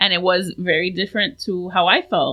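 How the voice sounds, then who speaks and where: The speaker is a woman with an American accent. Her voice sits at a medium pitch. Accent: Miami Cuban American English. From Miami, South Florida, Cuban American. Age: 40s. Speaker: painter, artist. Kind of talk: casual chat.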